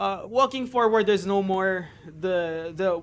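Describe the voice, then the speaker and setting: This man has a Filipino accent and a high pitch. His pitch variation is ordinary. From Philippines. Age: 30s. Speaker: gaming streamer. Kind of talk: live stream Q&A and tutorial. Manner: talkative; natural, not a put-on YouTube voice.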